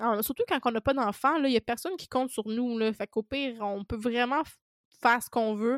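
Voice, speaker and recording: On a very clean, dry, close recording with a silent background and no echo, a woman with a Quebec accent talks fairly quickly in a high voice, with ordinary pitch variation and big swings in loudness. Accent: Québécois French. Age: 20s. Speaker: podcast host, self-employed food content creator. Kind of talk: casual solo podcast monologue.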